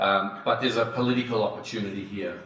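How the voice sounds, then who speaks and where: Amid noticeable background noise and audible room echo, a man with an Australian accent talks at a fairly quick pace, his pitch fairly low and his intonation fairly even. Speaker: industry association chief executive. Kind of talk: conference talk. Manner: hesitant, many fillers.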